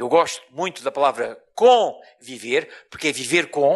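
High male voice in a European Portuguese accent against a quiet background. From Portugal (born in Mozambique). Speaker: professor. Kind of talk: lecture. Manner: deliberately slow. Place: hall. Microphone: handheld.

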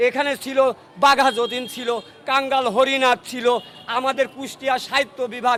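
Amid noticeable background noise, a man uses a raised, projected voice at an extremely high pitch, his intonation monotone and flat. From Bangladesh, Kushtia. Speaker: local resident interviewed by news channel. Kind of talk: impromptu patriotic speech. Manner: oratorical.

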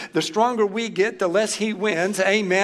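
Here a man talks at a moderate pace. His pitch is high, and there is noticeable background noise. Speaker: pastor. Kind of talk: sermon. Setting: church. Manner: animated.

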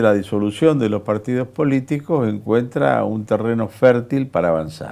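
Lively intonation from a man with a dark, mellow tone, over a quiet background. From Argentina. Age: 70s. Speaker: politician. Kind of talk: interview. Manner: animated. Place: studio. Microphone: lapel.

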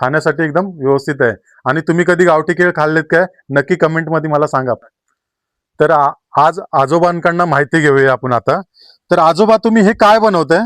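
A man with an ordinary speaking voice talks at a fairly high pitch with ordinary pitch variation and very even loudness. The sound is dry and close with no echo, on a very clean recording with a silent background. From Konkan, Ratnagiri district, Maharashtra. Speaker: vlogger. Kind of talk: vlog walkthrough. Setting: outdoors and inside a village house.

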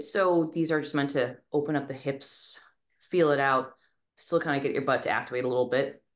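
Fairly quick speech against a quiet background. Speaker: fitness coach. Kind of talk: workout explanation to a class. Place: home room.

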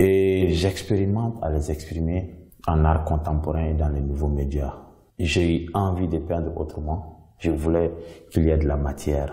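A man's very deep, low voice with a dark, mellow tone, fairly even intonation and some breathiness. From Mali. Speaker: visual artist. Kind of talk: artist presentation monologue.

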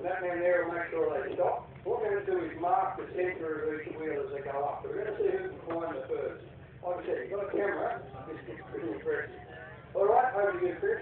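Strong room echo and noticeable background noise surround the recording. A man talks at a fairly quick pace. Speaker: event announcer. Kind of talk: explaining rules to a crowd. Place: open country.

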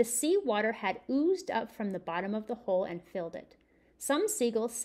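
The text is read aloud in a natural voice.

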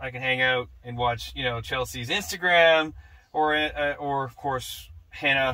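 A man's voice, with ordinary pitch variation, keeps a moderate pace. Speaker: truck owner demonstrating setup. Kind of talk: tutorial. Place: car. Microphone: camera far.

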